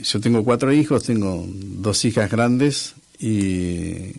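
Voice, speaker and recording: This man's voice has a dark, mellow tone. His pitch is fairly low. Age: 60s. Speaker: former public theatre manager and musician. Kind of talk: radio interview. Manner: halting, many fillers and repetitions.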